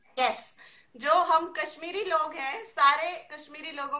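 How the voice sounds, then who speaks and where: A woman speaks at a fairly slow pace in a raised, projected voice. Her tone is bright and sharp, with ordinary pitch variation. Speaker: session host. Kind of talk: lively host chat with children, quiz.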